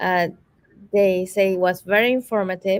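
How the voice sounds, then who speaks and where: A woman talks at a moderate pace with a non-native accent. Her pitch sits in the medium range. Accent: foreign. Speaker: summit host. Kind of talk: live virtual interview Q&A.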